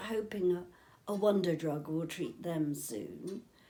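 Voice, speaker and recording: A woman speaks with an English accent in a dark, mellow tone at medium pitch. Her pace is fairly slow and her pitch varies in an ordinary way. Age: 70s. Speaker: interviewee with motor neurone disease. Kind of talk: casual chat.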